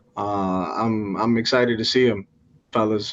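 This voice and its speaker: A man's fairly even intonation with a Washington accent. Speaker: fantasy sports podcast co-host. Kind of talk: casual sports chat.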